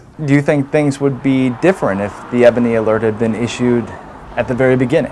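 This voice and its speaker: Against noticeable background noise, a man with a medium-pitched voice talks at a very fast pace with ordinary pitch variation. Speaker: TV news reporter. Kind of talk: news reporting montage.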